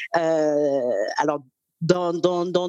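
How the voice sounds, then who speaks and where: The sound is dry and close, with no echo. A woman talks at a fairly low pitch. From Cameroon. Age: 30s. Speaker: career coach. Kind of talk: interview. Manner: hesitant, many fillers.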